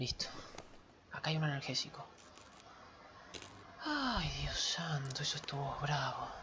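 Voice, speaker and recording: A man whispers at a fairly slow pace with very even loudness. Long, frequent pauses break up his speech. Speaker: gamer streaming with partner. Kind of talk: casual gameplay commentary. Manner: whispered, quiet. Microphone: headset.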